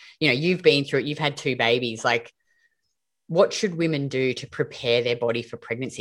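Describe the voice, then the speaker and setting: On a very clean recording with a silent background, a woman with an Australian accent speaks in a very deep, low pitch with lively intonation. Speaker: podcast host and metabolism coach. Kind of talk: casual interview chat.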